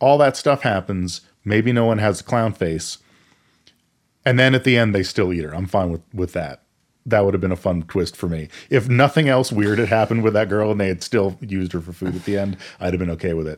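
A normal speaking voice with an American accent, fairly quick pace and ordinary pitch variation, on a very clean recording with a silent background. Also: man, fairly low pitch for a man. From Maine, US. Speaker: podcast co-host. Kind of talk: casual chat.

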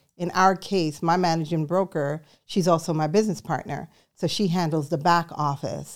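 In a very clean recording with a silent background, a woman with an unremarkable speaking voice and fairly low pitch talks at a moderate pace with fairly even intonation. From New York City, born in Jamaica. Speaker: real estate broker. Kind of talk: interview.

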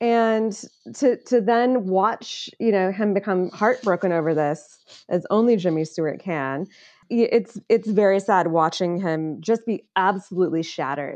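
In a quiet background, a woman with a Midwestern American accent speaks fairly slowly at a medium pitch with ordinary pitch variation. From US Midwest, Illinois. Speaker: political insider, film discussion guest. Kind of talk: casual chat.

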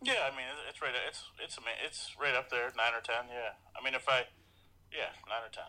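The speaker keeps a moderate pace with monotone, flat intonation and long, frequent pauses. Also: man, medium pitch for a man. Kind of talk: casual chat.

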